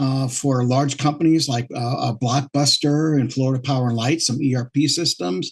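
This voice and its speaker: Speaking at a moderate pace, a man with a medium-pitched, somewhat breathy voice keeps his intonation fairly even and his loudness very even. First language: French. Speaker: entrepreneur. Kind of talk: interview. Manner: halting, many fillers and repeats.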